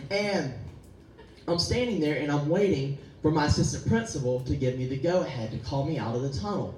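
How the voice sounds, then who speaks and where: A man with an American accent speaks with lively intonation at a fairly high pitch. Audible room echo and noticeable background noise fill the recording. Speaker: pastor. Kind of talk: sermon. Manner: animated.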